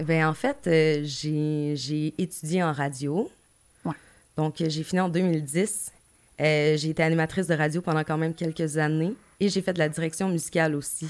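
A woman's very deep, low voice with fairly even intonation, on a very clean recording with a silent background. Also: moderate pace. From Gaspésie, Quebec. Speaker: music manager, former radio host. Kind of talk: casual interview.

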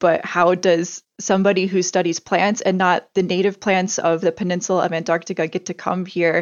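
With an American accent, a woman speaks at a moderate pace. Her pitch is medium. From US Midwest. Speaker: plant scientist. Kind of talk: interview.

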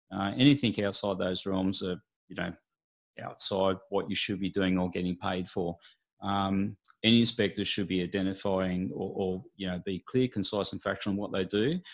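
A man with an Australian accent talks at a moderate pace, his pitch fairly low and his intonation fairly even. The recording is very clean, with a silent background. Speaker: building and pest inspector. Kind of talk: interview.

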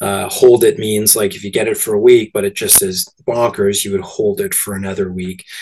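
In a Canadian accent, a man with an ordinary speaking voice and fairly low pitch speaks at a fairly quick pace with ordinary pitch variation. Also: hardly any pauses. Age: 40s. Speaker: movie theatre owner. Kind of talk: interview.

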